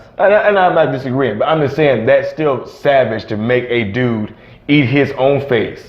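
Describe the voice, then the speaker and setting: A man's fairly high voice with lively intonation at a moderate pace, plus audible room echo. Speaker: YouTube horror commentary co-host. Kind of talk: casual chat. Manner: stuttering.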